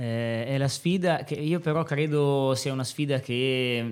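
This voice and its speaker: A very clean recording with silent surroundings, featuring a man's voice with normal pitch movement. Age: 30s. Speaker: high school teacher. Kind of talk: podcast interview. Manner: halting, many fillers.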